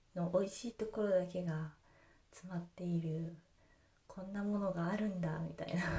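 A woman talks at a fairly slow pace with long, frequent pauses. Her voice is somewhat breathy. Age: 30s. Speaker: podcast host, housewife. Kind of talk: casual monologue. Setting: home kitchen. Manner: hesitant, many fillers.

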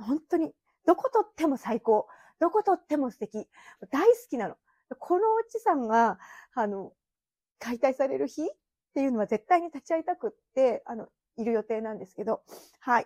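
A woman speaks at a moderate pace with a high pitch, very wide pitch swings and big shifts in loudness, her tone dark and mellow. Long, frequent pauses break up the speech, and the sound is dry and close with no echo. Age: 40s. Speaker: podcaster, former care worker. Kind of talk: casual monologue.

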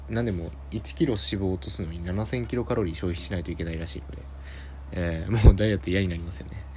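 A man with a very deep, low pitch talks at a very fast pace. His loudness swings a lot, and the room echo is audible. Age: 20s. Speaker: podcast host. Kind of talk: casual solo talk.

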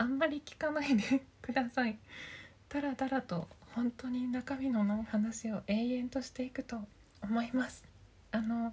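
Very slow and with fairly even intonation, a woman speaks at a high pitch. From Japan, Aichi Prefecture. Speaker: voice coach and podcast host. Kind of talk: casual solo talk. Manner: halting, stumbling over words.

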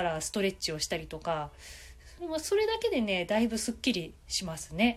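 A woman talks at a moderate pace in a relaxed tone, her pitch rising and falling very widely, on a very clean recording with a silent background. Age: 40s. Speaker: manga artist and podcaster. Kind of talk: solo talk.

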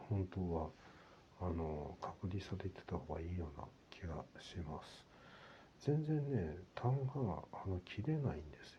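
A man speaks at a fairly slow pace in a somewhat breathy voice, his very deep, low pitch swinging very widely. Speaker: podcaster. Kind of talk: personal update monologue. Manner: halting with many fillers.

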